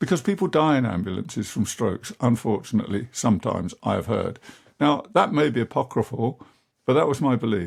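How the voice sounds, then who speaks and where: With an English accent, a man speaks fairly quickly with vocal fry and very wide pitch swings on a very clean recording with a silent background. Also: medium pitch for a man. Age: 70s. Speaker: podcast host. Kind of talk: personal monologue. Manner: conversational, many fillers.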